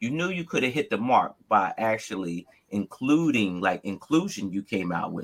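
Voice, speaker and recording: With an American accent and very wide pitch swings, a man speaks in a dry, close sound with no echo. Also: medium pitch for a man, moderate pace. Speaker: Lego builder, reality competition contestant. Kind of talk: casual chat. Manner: animated, emphatic.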